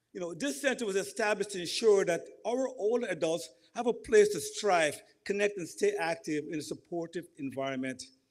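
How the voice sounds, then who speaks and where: A man with a Guyanese accent talks at a fairly quick pace. His pitch is high and his intonation lively. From Guyana. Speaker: community representative giving remarks. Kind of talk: ceremony speech.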